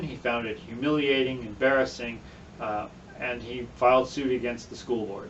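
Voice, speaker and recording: A man talks at a moderate pace with fairly even intonation. His pitch is medium, and the room echo is audible. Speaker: political candidate. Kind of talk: explainer video.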